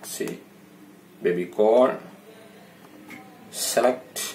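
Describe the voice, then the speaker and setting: Very wide pitch swings mark this man's speech. He goes at a very slow pace over light background noise. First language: not English. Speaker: telecom seller and consultant. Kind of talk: product tutorial narration. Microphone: phone near.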